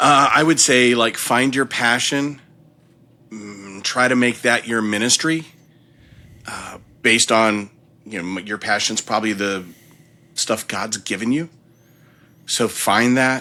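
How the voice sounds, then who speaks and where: Speaking at a fairly slow pace with long, frequent pauses, a man has a medium-pitched voice with a bright, sharp tone and ordinary pitch variation. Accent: American. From Washington DC area, US East Coast. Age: 50s. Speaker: church creative minister. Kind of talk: casual interview chat.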